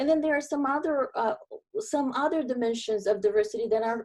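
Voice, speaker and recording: In a Brazilian accent, a woman talks with very wide pitch swings. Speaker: diversity and inclusion consultant. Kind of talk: webinar presentation.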